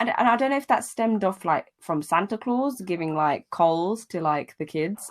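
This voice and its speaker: The pace of speech is moderate. It comes with a British accent. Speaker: podcast host. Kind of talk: casual chat.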